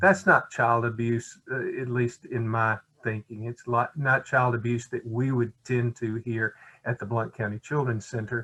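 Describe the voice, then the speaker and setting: Speaking with an Alabama accent, a man uses a bright, sharp tone at a medium pitch. His pace is fairly slow and his intonation fairly even, the sound dry and close with no echo. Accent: US Southern (Alabama). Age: 60s. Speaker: children's center director. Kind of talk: webinar presentation.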